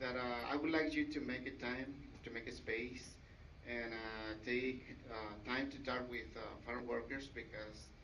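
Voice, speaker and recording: A man at a medium pitch and fairly slow pace, with fairly even intonation and audible room echo. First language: Mixteco. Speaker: community outreach worker. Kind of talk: public comment statement. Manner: halting.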